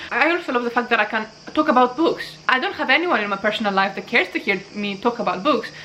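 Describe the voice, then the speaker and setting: Her voice is high for a woman, with lively intonation and a very fast pace. Noticeable background noise can be heard. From Greece. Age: 20s. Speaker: booktuber. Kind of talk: casual vlog, answering tag questions.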